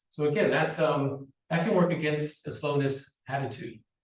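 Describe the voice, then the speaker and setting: A man with an American accent talks at a fairly high pitch. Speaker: university lecturer. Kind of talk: conference presentation. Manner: fast.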